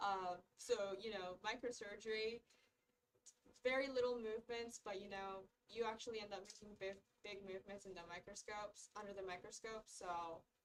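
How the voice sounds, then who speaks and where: A woman with an ordinary speaking voice talks at a moderate pace and medium pitch. Her intonation is fairly even, while her loudness swings widely. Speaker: medical student. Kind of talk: casual chat.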